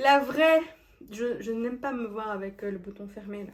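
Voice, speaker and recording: A woman is speaking. She goes at a fairly slow pace. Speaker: fashion vlogger trying on clothes. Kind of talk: casual vlog try-on review. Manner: casual, hesitant with fillers.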